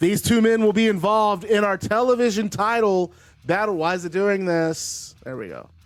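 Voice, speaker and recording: Music plays behind a man with a high-pitched voice and an animated tone. He talks at a fairly quick pace with ordinary pitch variation. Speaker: wrestling video game commentator. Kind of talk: live commentary of video game wrestling. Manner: animated play-by-play.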